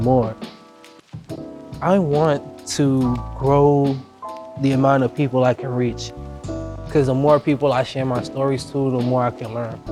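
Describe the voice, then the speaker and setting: With music in the background, a man of medium pitch speaks with an American accent. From Boston, Dorchester. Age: young. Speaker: slam poet. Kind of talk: interview answer. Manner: casual.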